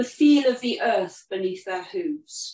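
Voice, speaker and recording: A woman's lively intonation, with audible room echo and light background noise. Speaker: horse herd custodian and healer; event host. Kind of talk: guided talk and meditation outdoors; talk to a group. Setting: outdoors with horses, streamed. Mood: calm, reverent. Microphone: camera far.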